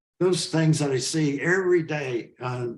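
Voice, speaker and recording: Somewhat breathy, a man speaks at a fairly high pitch. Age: 80s+. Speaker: author and animal rights activist. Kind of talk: interview conversation.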